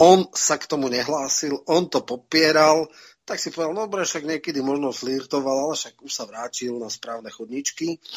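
Here a man speaks at a moderate pace in a fairly high voice. His pitch varies in an ordinary way, but his loudness swings widely. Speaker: political commentator. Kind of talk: political interview. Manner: hesitant with fillers.

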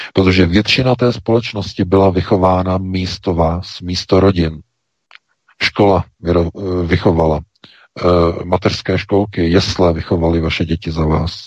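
Long, frequent pauses break up speech with fairly even intonation, delivered at a moderate pace. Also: man, very deep, low pitch for a man. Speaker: news site editor-in-chief. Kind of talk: talk radio commentary. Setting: studio.

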